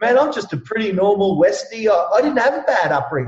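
A man with an Australian accent, energetic and animated, at a fairly quick pace. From Ipswich, Queensland, Australia. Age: 40s. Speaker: real estate coach and trainer. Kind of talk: casual interview. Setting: remote call from Perth. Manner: energetic, animated.

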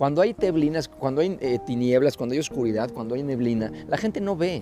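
A man with a Mexican accent speaks at a fairly quick pace in an animated tone with lively intonation, over noticeable background noise. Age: 50s. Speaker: pastor. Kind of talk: motivational sermon.

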